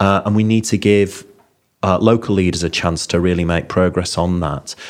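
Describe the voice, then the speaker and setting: With a Yorkshire accent, a man talks in a very deep, low pitch and fairly even intonation. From Yorkshire, Bingley. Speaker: health service chief executive. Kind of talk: interview.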